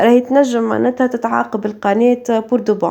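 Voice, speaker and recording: Talking at a fairly quick pace in a Tunisian accent, a woman with fairly high pitch and a dark, mellow tone speaks in a monotone, flat intonation. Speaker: cooking youtuber. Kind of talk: cooking vlog. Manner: casual, hesitant with fillers.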